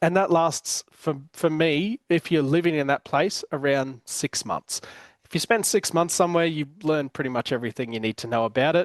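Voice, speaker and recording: Speech in an Australian accent at a moderate pace, with ordinary pitch variation. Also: man, fairly high pitch for a man. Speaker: podcast host, business coach. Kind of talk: casual chat. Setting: home. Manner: hesitant, many fillers and repeated words.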